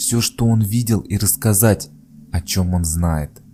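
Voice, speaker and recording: A man speaks in a calm, soothing tone at a very slow pace, with ordinary pitch variation. Music plays in the background. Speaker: author reading own works. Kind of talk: legend narration.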